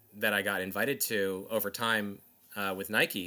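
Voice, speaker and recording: Against a silent background on a very clean recording, a man with an American accent speaks at a moderate pace in a bright, sharp tone. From US Northeast, South Jersey. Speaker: former sneaker Instagram account creator. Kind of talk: interview conversation.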